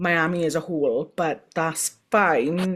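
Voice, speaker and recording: A woman talks with a Welsh accent. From Wales. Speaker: motorsport podcast co-host. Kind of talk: casual chat.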